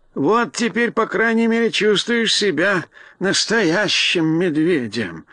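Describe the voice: A man uses a put-on character voice, high-pitched with a bright, sharp tone. He talks slowly with lively intonation.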